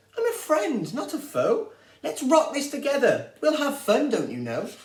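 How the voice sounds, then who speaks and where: Squeaky and timid, a man's put-on character voice rises to an extremely high pitch at a moderate pace. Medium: read story. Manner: timid, squeaky.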